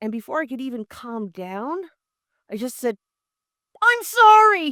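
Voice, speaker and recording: Raising and projecting her high voice, a woman speaks at a fairly slow pace with very wide pitch swings and big swings in loudness, in a dry, close recording with no echo. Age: 60s. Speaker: motivational video creator. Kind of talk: personal storytelling monologue. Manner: animated.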